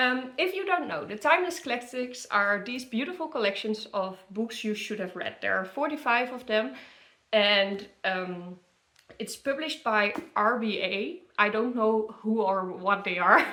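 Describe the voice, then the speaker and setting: The speaker has a Dutch accent. The intonation is lively. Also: woman, fairly high pitch for a woman. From Netherlands. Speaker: book content creator. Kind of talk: casual product review. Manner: halting, many fillers.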